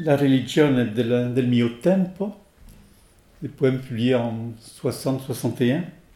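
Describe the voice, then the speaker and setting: The delivery is very slow, broken by long, frequent pauses. The tone is dark and mellow, with ordinary pitch variation. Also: man, medium pitch for a man. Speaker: French translator reader. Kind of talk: reading aloud, translation of poems.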